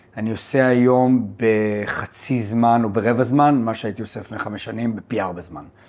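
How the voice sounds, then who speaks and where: A man uses a normal speaking voice at medium pitch. His pitch variation is ordinary. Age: 50s. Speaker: podcast host and accountant. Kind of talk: podcast interview.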